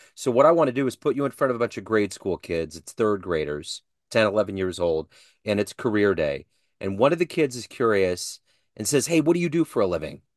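Against a quiet background, a man with a fairly low pitch talks at a fairly quick pace with very wide pitch swings, in a dry sound with no echo. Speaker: interviewer. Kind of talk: casual interview. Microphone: video call.

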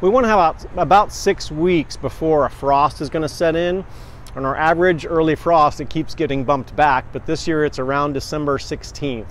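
He talks at a moderate pace. The sound is dry, with no echo. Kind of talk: tutorial. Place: market.

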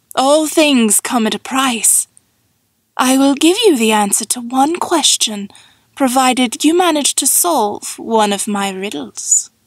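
Using a put-on character voice, a woman speaks high-pitched and slowly with lively intonation, the sound dry and close with no echo.

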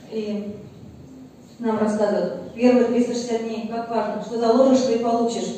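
A woman with a fairly high pitch talks at a fairly slow pace in a monotone, flat intonation, with long, frequent pauses. Strong room echo and light background noise fill the recording. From Russia. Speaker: family doctor. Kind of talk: casual testimonial. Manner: earnest, persuasive. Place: meeting room.

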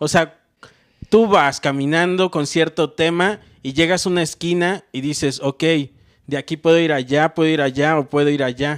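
A man with a Mexican accent and fairly even intonation against a quiet background. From Mexico. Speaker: comedian. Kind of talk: casual chat. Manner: slow. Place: home room. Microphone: handheld.

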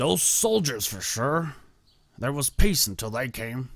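Using a put-on character voice, a man talks at a fairly slow pace and medium pitch with very wide pitch swings, on a very clean recording with a silent background. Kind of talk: game character dialogue. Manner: acted, theatrical reading. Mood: grim, resentful.

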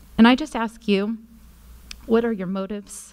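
A woman is speaking. Her voice sits fairly high. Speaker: parent giving public comment. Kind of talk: public comment. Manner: emotional. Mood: worried, impassioned. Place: meeting room. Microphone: podium.

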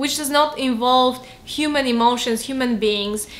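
A woman talks at a moderate pace in a high pitch with ordinary pitch variation. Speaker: YouTuber and book reviewer. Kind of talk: book review monologue. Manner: frequent filler hesitations. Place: home room.

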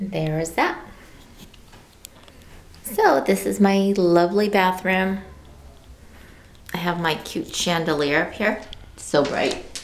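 At a very slow pace with long, frequent pauses, a woman speaks over light background noise. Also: ordinary pitch variation, big swings in loudness. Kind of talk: casual vlog chat. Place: bathroom. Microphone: phone near.

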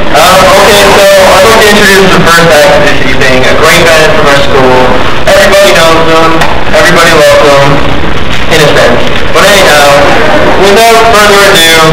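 A man speaks with ordinary pitch variation. The room echo is audible, and the background noise is loud. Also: fairly quick pace. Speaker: show host. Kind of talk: stage hosting banter. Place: stage. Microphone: old recording.

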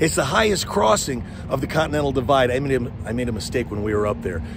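A man at a very fast pace amid noticeable background noise. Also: dry sound with no echo. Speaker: car vlogger. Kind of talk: casual vlog chat. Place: street. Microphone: phone near.

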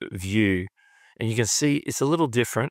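A man with a plain, everyday voice, fairly low in pitch, at a moderate pace, with a dry sound and no echo. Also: quiet background. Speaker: YouTube creator. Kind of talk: tutorial. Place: home room.

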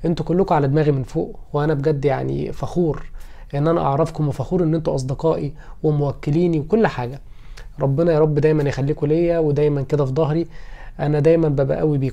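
In an Egyptian accent, a man speaks at a fairly quick pace with fairly high pitch and a dark, mellow tone. His intonation is fairly even, and the background is quiet. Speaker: lawyer and YouTuber; lawyer, YouTuber. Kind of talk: personal vlog. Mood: warm, grateful, a bit wistful. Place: home room. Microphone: phone near.

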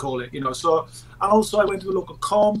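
This is a man speaking. He has a South Wales Valleys accent. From South Wales Valleys, Merthyr Tydfil. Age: 40s. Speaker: actor and filmmaker; actor. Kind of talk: casual chat; interview answer. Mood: relaxed, reminiscing. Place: home room.

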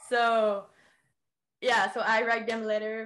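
Against a quiet background, a woman with a fairly high pitch speaks at a fairly slow pace. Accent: Quebec. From Quebec. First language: French. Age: 20s. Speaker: education product distributor; podcast guest. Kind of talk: personal testimony in casual interview. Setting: remote call. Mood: personal, serious story. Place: home room. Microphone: video call.

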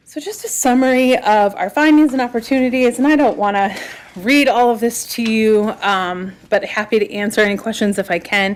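A woman's plain, everyday voice, fairly high in pitch, with ordinary pitch variation at a moderate pace. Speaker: trail planning consultant. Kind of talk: presentation to county committee. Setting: government committee meeting.

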